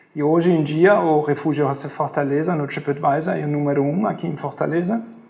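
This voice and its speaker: Talking fairly quickly, a man uses a fairly high pitch and ordinary pitch variation amid noticeable background noise. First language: German (speaking Portuguese). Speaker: hostel owner. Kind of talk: interview. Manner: halting, with fillers.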